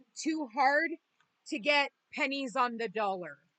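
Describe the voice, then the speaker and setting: A woman uses a raised, projected voice with a bright, sharp tone. She speaks at a fairly slow pace, and the sound is dry and close with no echo. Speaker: tarot reader. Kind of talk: tarot reading. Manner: casual, swearing rants.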